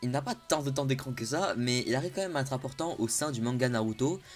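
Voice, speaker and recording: Ordinary pitch variation with music in the background. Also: man. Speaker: anime youtuber. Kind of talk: improvised vlog explainer. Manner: hesitant, searching for words.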